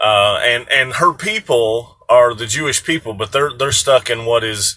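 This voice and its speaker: Bright and sharp in tone, a man talks at a medium pitch with ordinary pitch variation. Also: fairly slow pace. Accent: Southern US. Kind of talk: casual talk to camera. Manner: relaxed, hesitant.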